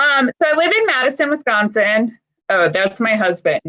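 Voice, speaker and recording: A woman speaks with a bright, sharp tone. Her pitch swings very widely. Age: 40s. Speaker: dry eye patient panelist. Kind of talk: casual panel chat.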